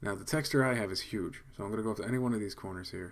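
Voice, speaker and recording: Very fast speech from a man with a fairly low voice and normal pitch movement. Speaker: video editing tutor. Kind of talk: tutorial. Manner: casual.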